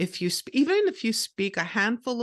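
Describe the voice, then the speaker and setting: Recorded dry and close with no echo against a quiet background, the speech moves at a moderate pace. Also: woman. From Canada, Montreal. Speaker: podcaster and author. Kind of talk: interview.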